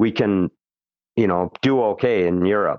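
A man talks in a plain, everyday voice with an American accent. His pitch is fairly low and his pace moderate. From Minnesota, Twin Cities. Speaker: musician. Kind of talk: interview. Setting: phone call.

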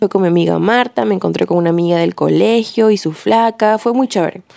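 A woman's medium-pitched, animated voice at a moderate pace, dry and close with no echo, over noticeable background noise. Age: 20s. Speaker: podcaster. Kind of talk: casual monologue. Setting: home bedroom.

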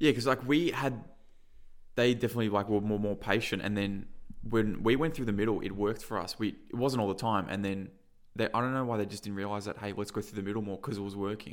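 A man with an Australian accent, fairly low in pitch, at a very fast pace with ordinary pitch variation. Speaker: football podcast co-host. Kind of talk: casual sports chat, match review. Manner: emotional, animated.

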